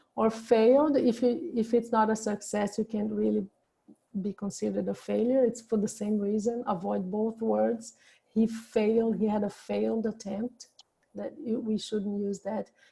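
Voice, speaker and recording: A woman with a non-native accent speaks at a moderate pace and a fairly high pitch, her intonation fairly even. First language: not English. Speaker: suicide prevention speaker. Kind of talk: lecture. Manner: halting.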